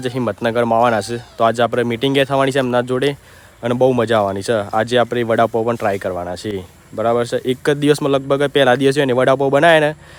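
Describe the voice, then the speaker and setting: There is noticeable background noise. A man speaks with fairly even intonation. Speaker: vlogger. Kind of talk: casual vlog narration.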